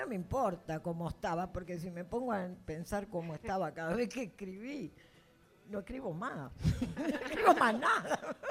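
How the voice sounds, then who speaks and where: A woman talks at a moderate pace and medium pitch. Her pitch swings very widely over noticeable background noise. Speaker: fiction writer. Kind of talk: public literary talk.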